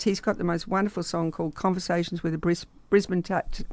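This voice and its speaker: A woman with an Australian accent, fairly low in pitch, with fairly even intonation at a fairly quick pace, on a very clean recording with a silent background. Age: 70s. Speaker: drummer. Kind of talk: radio interview. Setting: radio studio. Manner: halting.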